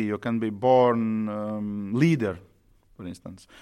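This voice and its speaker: A medium-pitched man with a Latvian accent, on a very clean recording with a silent background. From Latvia, Riga. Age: 40s. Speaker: orchestra conductor. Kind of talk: interview.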